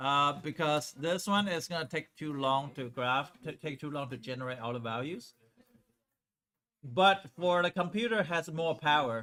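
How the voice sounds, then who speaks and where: A man speaks with a fairly high pitch and a bright, sharp tone. His intonation is lively. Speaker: high school math teacher. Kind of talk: classroom lecture. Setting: classroom with students. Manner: fast.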